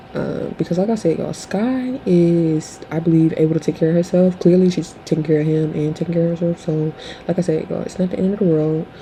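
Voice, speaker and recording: A woman's very fast, nearly pause-free speech at a fairly low pitch, with ordinary pitch variation and noticeable background noise. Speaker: commentary vlogger. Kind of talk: casual opinion commentary. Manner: halting, many fillers.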